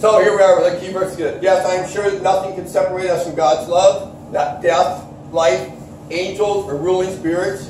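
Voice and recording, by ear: With few pauses, a man speaks at a moderate pace and a high pitch, his slightly mellow tone showing little pitch movement over audible room echo.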